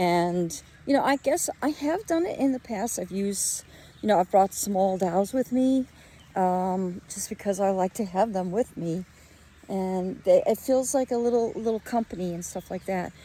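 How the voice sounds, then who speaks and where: Her voice is a woman's, medium in pitch with a dark, mellow tone, moving at a moderate pace with ordinary pitch variation. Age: adult. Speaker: doll collector vlogger. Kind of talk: casual vlog talk while walking outdoors. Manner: hesitant, many fillers; loud.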